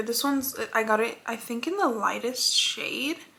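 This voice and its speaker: A woman with a high pitch speaks through noticeable background noise. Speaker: beauty vlogger. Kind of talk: makeup tutorial. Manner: fast.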